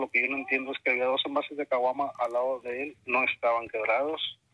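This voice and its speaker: Here is a man with a northern Mexican accent. He talks at a fairly quick pace. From Tamaulipas, northern Mexico. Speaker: caller sharing paranormal experiences. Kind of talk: testimony. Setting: phone call. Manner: halting.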